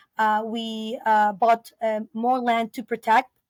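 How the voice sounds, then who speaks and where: In a very clean recording with a silent background, a woman with a Spanish accent speaks at a fairly high pitch with monotone, flat intonation. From Peru (Lima). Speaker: biologist and eco-lodge founder. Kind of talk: interview. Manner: halting, many fillers.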